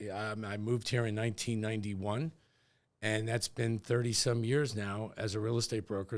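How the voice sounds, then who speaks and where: In a very clean recording with a silent background, a man speaks at a moderate pace with a fairly low pitch in a normal speaking voice. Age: 60s. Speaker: real estate executive. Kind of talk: podcast interview.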